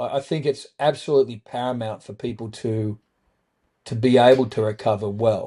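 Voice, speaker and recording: In an Australian accent, a man with a dark, mellow tone speaks at a fairly quick pace over a quiet background. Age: 60s. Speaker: trauma survivor and author. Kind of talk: podcast interview.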